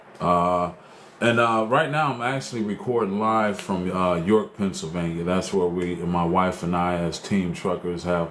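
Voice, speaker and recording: Amid audible room echo, a man with a very deep, low pitch talks at a moderate pace with ordinary pitch variation. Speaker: talk show host and truck driver. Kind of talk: casual livestream talk show. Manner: loud; hesitant, many fillers.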